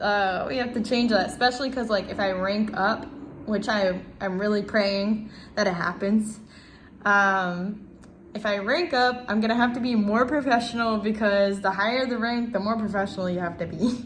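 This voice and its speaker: In an American accent, a woman with a fairly high, somewhat breathy voice speaks at a moderate pace with fairly even intonation and audible room echo. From Ohio, US Midwest. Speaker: navy sailor and student. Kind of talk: self-introduction video. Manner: casual with many fillers.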